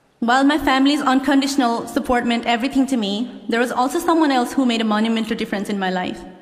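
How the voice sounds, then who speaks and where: Against noticeable background noise and audible room echo, a woman with a high pitch races at a very fast pace with hardly any pauses and ordinary pitch variation. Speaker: law graduate. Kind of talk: commencement speech. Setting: stage with audience. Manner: formal.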